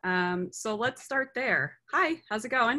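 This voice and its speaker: A woman speaks at a fairly slow pace with lively intonation and a bright, sharp tone. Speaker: interview host. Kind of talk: casual interview conversation. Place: home room. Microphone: video call.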